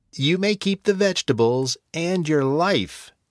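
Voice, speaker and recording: A man uses a put-on character voice with a high pitch, delivered at a fairly slow pace. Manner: menacing.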